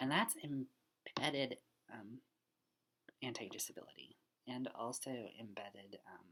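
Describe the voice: A bright, sharp tone with a slightly husky edge, slow pace and ordinary pitch variation.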